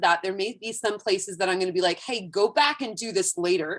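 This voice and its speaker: Lively intonation marks a woman's unremarkable speaking voice. Her pitch is medium. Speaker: online class instructor. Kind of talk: webinar teaching.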